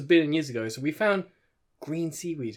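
A very fast British-accented man, fairly high-pitched for a man, with ordinary pitch variation. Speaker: podcast co-host. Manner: swallows some syllables.

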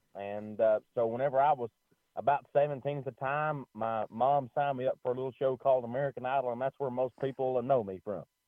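A man talks at a fairly quick pace with a Kentucky accent. His medium pitch stays fairly even in intonation. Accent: Kentucky country. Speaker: country singer. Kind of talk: interview.

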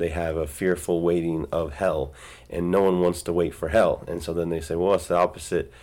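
A man's very deep, low voice in monotone, flat intonation, on a very clean recording with a silent background. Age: 30s. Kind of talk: solo devotional talk. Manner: halting, many fillers and repeated words.

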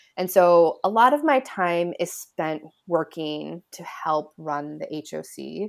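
Speaking very slowly with an American accent, a woman's voice swings widely in loudness in a very clean recording with a silent background. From US Midwest, Illinois. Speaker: ocean policy lawyer. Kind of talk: interview.

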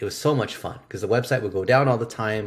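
A man speaks at a medium pitch with a somewhat breathy voice. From US. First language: Chinese. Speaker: digital marketing expert. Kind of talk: interview conversation. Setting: video call.

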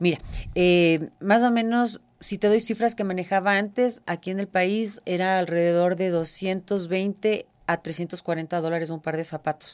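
A woman speaks at a very slow pace in a medium pitch, her intonation fairly even. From Ecuador. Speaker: shoe designer. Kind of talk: interview. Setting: studio.

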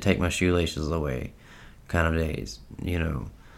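In a room with audible echo, a man speaks with fairly even intonation. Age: 30s. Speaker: mental health podcaster. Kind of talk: casual monologue. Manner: halting.

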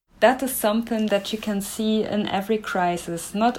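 Over noticeable background noise, a woman with a German accent speaks with fairly even intonation. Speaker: language researcher. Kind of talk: interview.

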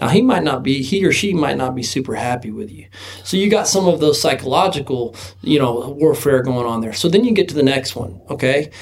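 With noticeable background noise, a man talks fairly quickly at a fairly high pitch, his intonation lively and his loudness swinging widely. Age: 30s. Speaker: sunglasses company founder and former rodeo team roper. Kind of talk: casual chat.

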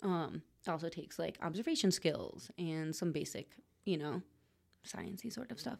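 A normal speaking voice with lively intonation moves at a moderate pace. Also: woman, fairly low pitch for a woman. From Connecticut, near the Sound. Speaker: fermented foods producer. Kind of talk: casual chat.

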